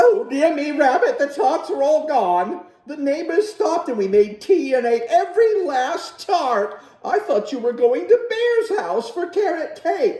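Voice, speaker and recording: A man speaks in a put-on character voice pitched extremely high, with very wide pitch swings. His pace is fairly slow, yet he hardly pauses at all. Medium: read story.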